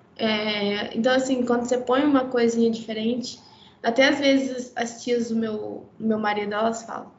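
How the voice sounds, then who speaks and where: Over noticeable background noise and audible room echo, a woman talks at a moderate pace in a fairly high voice with monotone, flat intonation. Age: 20s. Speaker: fashion designer, atelier owner. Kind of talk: casual chat.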